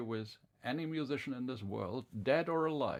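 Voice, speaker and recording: A man talks with ordinary pitch variation. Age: 60s. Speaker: radio host. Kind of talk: interview. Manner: halting.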